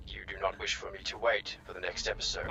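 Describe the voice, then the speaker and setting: Clear background noise sits under a cartoonish character voice racing at a very fast pace. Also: man. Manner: formal, flat, precise.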